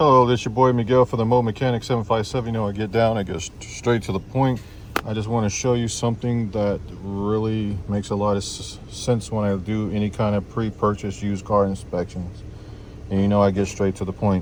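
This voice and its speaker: A man speaks quietly at a fairly quick pace, his pitch fairly low and his intonation fairly even. Noticeable background noise runs underneath. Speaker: mobile mechanic. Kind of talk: tutorial. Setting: outdoors at a customer's house, beside a car. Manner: quiet, low-voiced.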